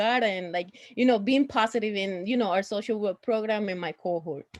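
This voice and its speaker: In a strong Puerto Rican accent, a woman speaks at a fairly high pitch. Her pitch varies in an ordinary way against a quiet background. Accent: thick Puerto Rican Spanish. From Puerto Rico. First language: Spanish. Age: 30s. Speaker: social work student. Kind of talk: panel introduction.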